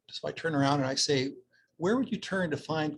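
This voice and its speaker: A man with a Canadian accent speaks at a moderate pace in a fairly high, somewhat breathy voice, recorded with a dry, close sound and no echo. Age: 60s. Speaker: social worker. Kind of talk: conference talk.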